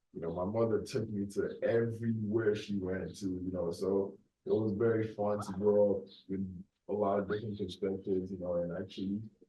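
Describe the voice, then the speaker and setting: With an American accent, a man speaks in a relaxed, somewhat breathy voice at a fairly low pitch, his intonation monotone and flat. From Nigeria. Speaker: podcast host. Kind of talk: casual monologue. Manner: relaxed, filler-heavy.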